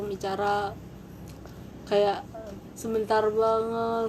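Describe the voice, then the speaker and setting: A woman speaks in a flat monotone at a fairly high pitch, with noticeable background noise. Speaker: vlogger. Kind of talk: casual personal storytelling. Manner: halting, many repetitions.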